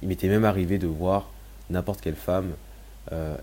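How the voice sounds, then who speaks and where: The man's pitch is very deep and low, with a dark, mellow tone. He sounds somewhat breathy and keeps a moderate pace. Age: 20s. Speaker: podcast host sharing personal story. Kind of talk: personal testimony monologue.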